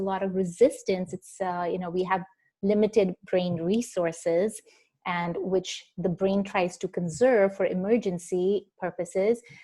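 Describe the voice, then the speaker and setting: A woman's dark, mellow tone at a medium pitch and a moderate pace. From India. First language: not English (Indian language). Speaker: mindfulness expert and researcher. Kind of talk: interview. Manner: hesitant, many fillers.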